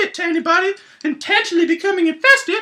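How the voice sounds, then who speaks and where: A man in a put-on character voice at a fairly quick pace. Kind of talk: educational science explainer.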